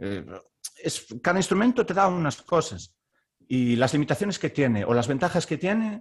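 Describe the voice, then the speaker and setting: Pausing long and often, a man with a fairly high pitch talks at a moderate pace, his pitch swinging very widely. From Galicia, Spain (Baiona, near Vigo). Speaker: orchestral clarinetist. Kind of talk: casual interview chat.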